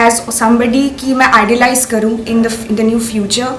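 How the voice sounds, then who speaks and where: A woman speaks with a fairly high pitch. Noticeable background noise and audible room echo fill the recording. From Tripura, northeast India. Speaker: beauty pageant winner. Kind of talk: interview testimony.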